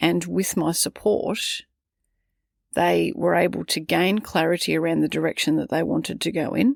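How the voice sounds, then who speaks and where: The recording is very clean, with a silent background. Loudness stays very even throughout. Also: woman, moderate pace. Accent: Australian. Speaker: parenting coach. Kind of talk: podcast monologue.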